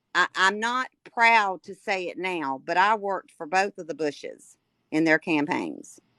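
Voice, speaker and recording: A woman at a medium pitch and fairly slow pace, bright and sharp in tone, with very wide pitch swings and a dry, close sound free of echo. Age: 60s. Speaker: caller. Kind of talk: heated debate.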